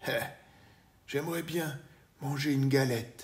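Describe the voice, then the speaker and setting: A man's put-on character voice, raspy and fairly high, at a moderate pace with fairly even intonation. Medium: read story.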